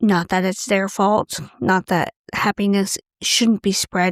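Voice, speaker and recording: A woman speaks in a plain, everyday voice at a medium pitch and a fairly slow pace. Her intonation is fairly even, and the sound is dry and close with no echo. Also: very clean recording, silent background. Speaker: podcast host. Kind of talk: casual monologue. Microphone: close to the mic, breathing audible.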